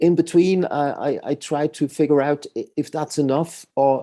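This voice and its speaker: Dry and close with no echo, a man's dark, mellow voice sits at a fairly high pitch, moving at a fairly slow pace in monotone, flat intonation. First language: not English. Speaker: musician. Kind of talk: interview. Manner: halting.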